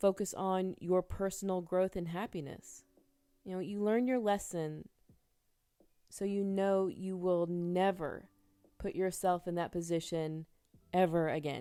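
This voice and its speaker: Speaking slowly with an American accent, a woman has a medium pitch and a dark, mellow tone. Her speech has long, frequent pauses. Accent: southern accent when mad. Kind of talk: tarot reading monologue. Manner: animated.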